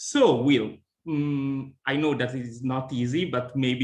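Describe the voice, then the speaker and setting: A man speaks at a medium pitch. He has an Italian accent. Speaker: interviewer, association president. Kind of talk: interview. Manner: hesitant, with fillers.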